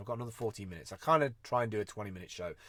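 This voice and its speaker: In a very clean recording with a silent background, a man with a British accent speaks at a medium pitch with ordinary pitch variation. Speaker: vlogger and freelance creative. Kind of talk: casual live-stream monologue. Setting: live video stream. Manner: fast.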